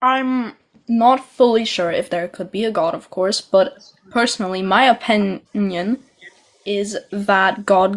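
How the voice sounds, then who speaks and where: The speaker talks at a fairly slow pace with a non-native accent and ordinary pitch variation. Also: woman. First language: not English. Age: young (18). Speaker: caller, agnostic Satanist. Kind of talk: casual debate. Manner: halting.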